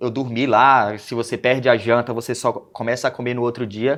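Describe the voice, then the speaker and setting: A man speaks in a northeastern Brazilian accent at a moderate pace. His pitch is medium and the background quiet. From Brazilian Northeast, Aracaju (Sergipe). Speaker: former youth footballer. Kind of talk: interview.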